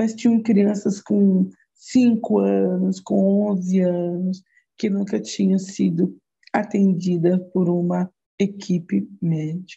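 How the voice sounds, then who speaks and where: A woman with a dark, mellow, somewhat breathy tone speaks very slowly at a medium pitch, her loudness very even and her intonation fairly even. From Brazil, Osasco, São Paulo. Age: 60s. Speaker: psychologist. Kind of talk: interview.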